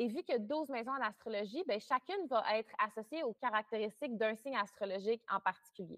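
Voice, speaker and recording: In a normal speaking voice, a woman talks at a fairly high pitch and a fairly quick pace with ordinary pitch variation and hardly any pauses. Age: 20s. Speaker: astrologer. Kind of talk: interview.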